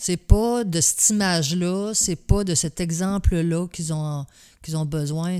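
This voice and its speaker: A woman's dark, mellow voice, fairly low in pitch, with ordinary pitch variation and a very slow pace, on a very clean recording against a silent background. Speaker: host's mother, military spouse. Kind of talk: casual chat.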